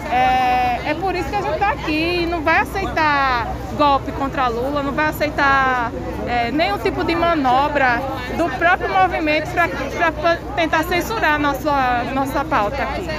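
Crowd noise fills the background as a woman speaks in a high pitch at a fairly slow pace. Her pitch varies an ordinary amount. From Paraíba, Brazil. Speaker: protester, political activist. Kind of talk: street interview. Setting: outdoors at a street protest.

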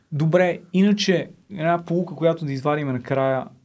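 This man has a normal speaking voice, ordinary pitch variation, and a moderate pace. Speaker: podcast host. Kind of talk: casual interview chat.

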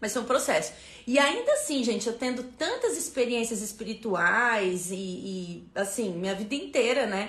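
A woman with a fairly high pitch speaks in an animated tone with lively intonation at a moderate pace, amid noticeable background noise and audible room echo. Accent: Brazilian. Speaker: spiritual numerology teacher. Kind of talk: live stream talk. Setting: Instagram live stream.

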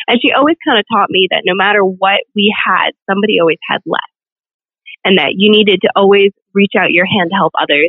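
A woman with an American accent and a normal speaking voice talks at a fairly quick pace, with medium pitch, ordinary pitch variation and very even loudness. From Virginia, small town. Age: 20s. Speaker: pageant titleholder and nursing student. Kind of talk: interview.

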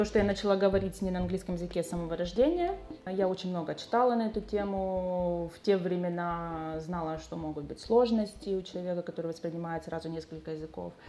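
Talking at a very fast pace, a woman with a fairly low pitch keeps a fairly even intonation against noticeable background noise. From Ukraine, Dnipro. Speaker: insurance agent and English teacher. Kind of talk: casual interview.

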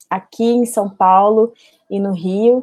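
A woman with a Goiânia accent, very slow and fairly even in intonation. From Goiás, Brazil (Goiânia). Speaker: filmmaker and doctoral researcher. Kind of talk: podcast interview.

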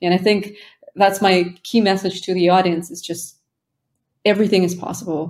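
Her intonation is monotone and flat, at a medium pitch and a moderate pace. The woman's loudness swings widely, with long, frequent pauses. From Uzbekistan. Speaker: podcast host. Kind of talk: casual interview conversation.

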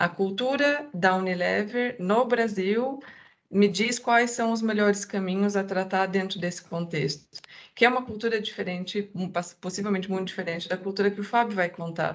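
A woman's voice sits at a medium pitch with ordinary pitch variation. She keeps a moderate pace. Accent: southern Brazilian. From southern Brazil. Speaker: diversity and inclusion manager. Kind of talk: podcast interview.

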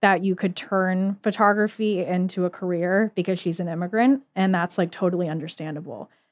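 Recorded very cleanly against a silent background, a woman speaks in a normal speaking voice at medium pitch. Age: 20s. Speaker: photographer and art student. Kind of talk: casual interview. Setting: library room.

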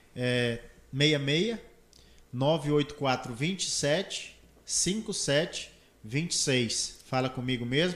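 Lively intonation marks this very slow delivery, broken by long, frequent pauses. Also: man, fairly high pitch for a man. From Brazil, Mato Grosso (Confresa). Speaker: solar energy entrepreneur. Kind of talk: casual interview. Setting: studio, live stream.

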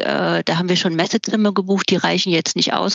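The woman's pitch is medium and her intonation monotone and flat. The sound is dry and close, with no echo. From eastern Germany. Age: 50s. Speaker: event and travel venue finder. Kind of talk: casual interview.

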